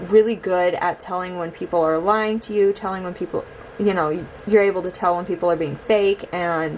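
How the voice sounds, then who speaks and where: There is noticeable background noise as a woman with a medium pitch speaks at a moderate pace with fairly even intonation. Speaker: tarot reader. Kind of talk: tarot reading to camera. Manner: hesitant, many fillers.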